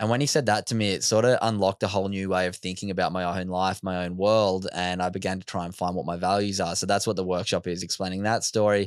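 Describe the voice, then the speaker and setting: A man's very deep, low voice in an Australian accent, very fast with hardly any pauses and fairly even intonation, in a very clean recording with a silent background. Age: 20s. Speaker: mental health speaker. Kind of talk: casual chat. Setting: studio.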